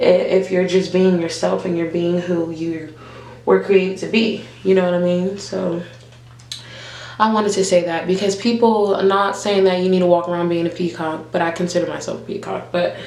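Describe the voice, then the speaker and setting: Against noticeable background noise and audible room echo, a woman speaks at medium pitch with monotone, flat intonation. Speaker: vlogger and nurse. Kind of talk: casual chat.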